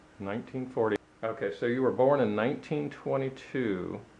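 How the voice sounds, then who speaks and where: At a moderate pace, a man talks at a medium pitch in an unremarkable speaking voice. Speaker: interviewer, channel owner. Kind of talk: interview questions and narration. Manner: casual, joking.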